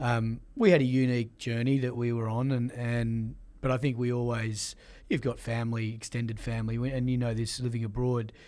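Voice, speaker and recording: A man with an Australian accent speaks fairly quickly at a medium pitch. His tone is dark and mellow, and his intonation is flat and monotone. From Australia, Sydney. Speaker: sports executive. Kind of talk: interview.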